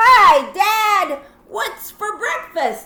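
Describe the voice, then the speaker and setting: In an extremely high, squeaky put-on character voice, a woman speaks in a raised, projected way. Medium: read story.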